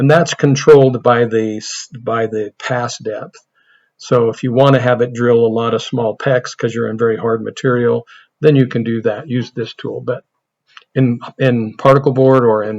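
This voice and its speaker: The speech moves at a moderate pace in an American accent. The intonation is monotone and flat. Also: man. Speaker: CNC woodworking instructor. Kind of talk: software tutorial. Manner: casual, thinking aloud.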